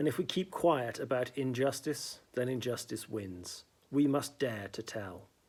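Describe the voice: The speaker reads aloud plainly. Pitch variation is ordinary.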